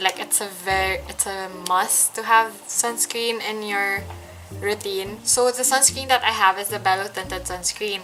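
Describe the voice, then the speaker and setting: With music in the background, a woman talks in a fairly even intonation. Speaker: beauty vlogger. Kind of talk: makeup tutorial. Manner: hesitant; casual mix of English and Tagalog.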